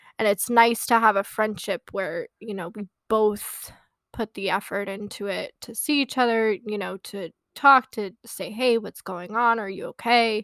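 A woman with an unremarkable speaking voice talks in a fairly high pitch and fairly even intonation, her loudness swinging widely. The sound is dry and close with no echo, on a very clean recording with a silent background. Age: 20s. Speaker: podcast co-host. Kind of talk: casual chat.

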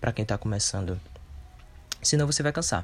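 The man's voice is somewhat breathy. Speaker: holistic therapist and podcaster. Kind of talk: solo podcast monologue. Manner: hesitant, many fillers.

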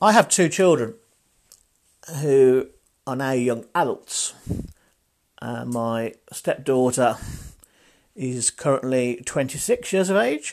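Very slow and broken by long, frequent pauses, a man's speech still carries lively intonation. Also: medium pitch for a man. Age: 40s. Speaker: marketing podcaster. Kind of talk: solo podcast monologue. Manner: casual with fillers.

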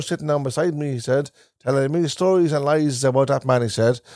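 A dark, mellow tone with ordinary pitch variation on a very clean recording with a silent background. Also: man. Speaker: podcast co-host. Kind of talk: casual chat. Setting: in a caravan.

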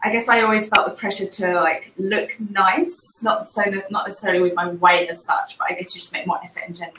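A speaker with an English accent talks at a very fast pace with hardly any pauses and lively intonation. Loudness swings a lot, and there is noticeable background noise. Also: woman, medium pitch for a woman. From England. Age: 30s. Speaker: graphic designer. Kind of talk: casual chat.

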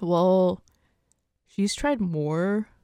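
Very clean and silent in the background, the recording of a woman's voice is dry and close with no echo. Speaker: legal assistant. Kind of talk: casual chat.

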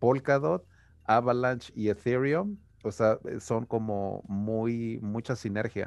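A man at a medium pitch with ordinary pitch variation, talking at a very slow pace. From Mexico, Taxco (Guerrero). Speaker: crypto podcast host. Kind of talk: casual chat. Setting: video call.

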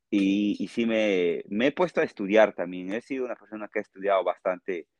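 The dry, close sound has no echo as a man speaks at a fairly quick pace. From Peru, Tarapoto (Amazon region). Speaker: musician. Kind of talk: interview.

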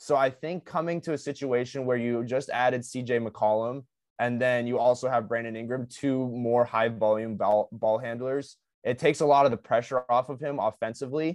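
At a moderate pace and medium pitch, a man with a normal speaking voice keeps fairly even intonation, recorded with a dry, close sound with no echo and a quiet background. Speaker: podcast co-host. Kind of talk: casual chat.

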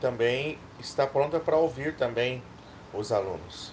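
A man speaks at a fairly slow pace in a somewhat breathy voice. His pitch varies in an ordinary way. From Mato Grosso, Brazil. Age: 30s. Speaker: medical student, student union candidate. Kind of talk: casual chat; reading proposals aloud.

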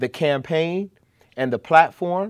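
Against a quiet background, in a dry, close sound with no echo, a man with an American accent talks fairly slowly with ordinary pitch variation. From Chicago. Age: 30s. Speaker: activist and community organizer. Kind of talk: casual interview.

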